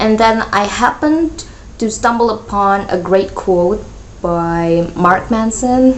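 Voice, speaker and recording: There is noticeable background noise and audible room echo as a woman talks at a medium pitch with lively intonation. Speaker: youtuber podcaster. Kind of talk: casual solo rant. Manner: halting, self-correcting; chatty, talks a lot.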